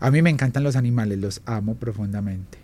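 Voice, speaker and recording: This man talks at a very fast pace with ordinary pitch variation. His tone is dark and mellow. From Colombia, Armenia Quindío (coffee region). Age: 30s. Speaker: illustrator and graphic designer. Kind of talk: interview.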